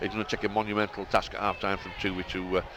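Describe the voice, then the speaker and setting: A man's very fast, monotone delivery in a Bradford accent, fairly low in pitch and flat in intonation, over noticeable background noise. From Bradford, West Yorkshire, England. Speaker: co-commentator, rugby league pundit. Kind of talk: live commentary.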